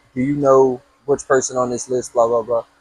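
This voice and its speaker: The recording is dry and close with no echo as a man speaks at medium pitch and a fairly quick pace. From US. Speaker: podcast host. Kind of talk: casual chat. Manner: animated.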